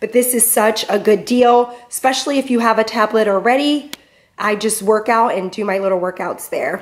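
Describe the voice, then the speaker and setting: A woman at a fairly quick pace, with ordinary pitch variation. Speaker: home vlogger. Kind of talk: casual vlog chat. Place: garage. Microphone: phone near.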